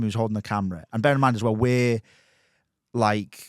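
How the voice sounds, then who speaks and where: Fairly quick speech in a slight Scouse accent. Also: man, very clean recording, silent background. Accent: slight Scouse twinge. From Merseyside, England. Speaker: podcast host and documentary maker. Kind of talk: casual chat. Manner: animated, halting storytelling.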